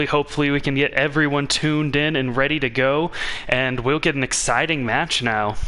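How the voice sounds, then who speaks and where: At a fairly quick pace, a man speaks at a fairly high pitch and very even loudness over noticeable background noise. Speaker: esports shoutcaster. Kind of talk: live esports play-by-play commentary. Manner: fast, energetic.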